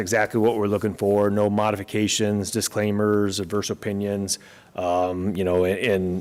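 Here a man speaks at a moderate pace. His pitch sits fairly low. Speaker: auditor. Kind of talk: presentation to city commission. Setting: council chamber, at the mic. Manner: loud; hesitant, many fillers.

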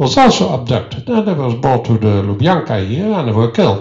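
Here a man with a Dutch accent uses lively intonation. Audible room echo fills the space, though the background stays quiet. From Netherlands. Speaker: historian; visiting historian lecturer. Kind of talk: lecture. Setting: stage with audience. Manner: halting. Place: hall. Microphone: handheld.

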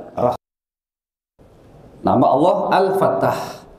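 The room echo is audible. A man talks fairly slowly within it. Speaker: religious teacher. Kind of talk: sermon. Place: church. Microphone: headset.

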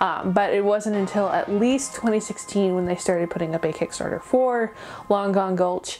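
At a moderate pace, the speaker uses an upbeat tone with music playing in the background. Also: woman. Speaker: animation reviewer. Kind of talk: casual talk to camera. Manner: rambling, upbeat. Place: home room.

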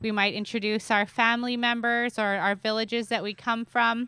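Against a quiet background with a dry, echo-free sound, a woman talks at a moderate pace in a bright, sharp tone with monotone, flat intonation. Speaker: speaker. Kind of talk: public address welcome speech. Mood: warm, grateful. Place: stage. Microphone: handheld.

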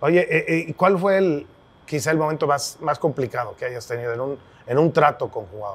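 Somewhat breathy and fairly high in pitch, a man talks at a moderate pace. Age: 50s. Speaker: podcast host, sports journalist. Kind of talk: interview conversation. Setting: brewery. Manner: halting, repetitive. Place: bar.

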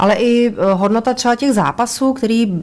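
Noticeable background noise fills the recording. Through it, a woman can be heard talking. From Karlovy Vary. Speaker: boxer's wife. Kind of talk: casual chat.

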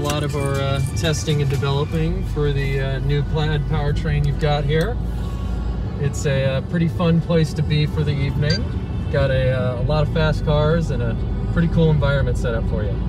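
A man at a moderate pace, with a dry sound with no echo and clear music in the background. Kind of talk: casual guided commentary. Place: car. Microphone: phone near.

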